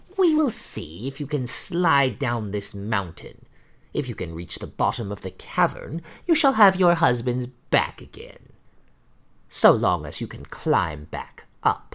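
Recorded very cleanly against a silent background, a put-on character voice moves at a fairly slow pace in a low-to-middle pitch. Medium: read story. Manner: menacing, mocking.

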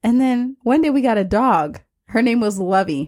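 At a fairly slow pace, an ordinary speaking voice carries lively intonation. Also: woman. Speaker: podcast host. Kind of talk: casual interview chat.

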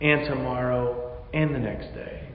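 Noticeable background noise sits behind a man speaking in a flat monotone. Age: 40s. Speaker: pastor. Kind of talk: sermon.

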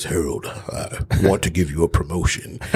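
A man puts on a character voice with a very deep, low pitch. He speaks at a moderate pace over light background noise.

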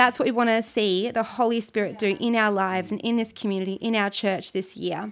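This woman has an Australian accent, a fairly high pitch and an animated tone. She talks at a fairly quick pace on a very clean recording with a silent background. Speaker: church pastor leading prayer. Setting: recorded devotional message to a church community. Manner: earnest, fervent, pleading and declarative; animated, encouraging.

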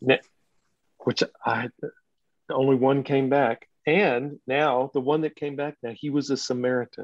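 With an American accent, a man at medium pitch speaks in an unremarkable speaking voice, his intonation fairly even and the sound dry and close with no echo. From Texas. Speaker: associate pastor. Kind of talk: casual chat.

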